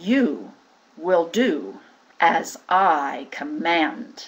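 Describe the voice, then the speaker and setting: A growling, put-on character voice with very wide pitch swings. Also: woman, fairly low pitch for a woman. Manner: commanding, bullying.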